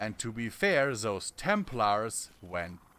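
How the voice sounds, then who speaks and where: With a German accent, a man speaks at a very slow pace. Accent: non-native English, German. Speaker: gaming streamer. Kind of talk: live gameplay commentary. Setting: live stream. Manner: halting.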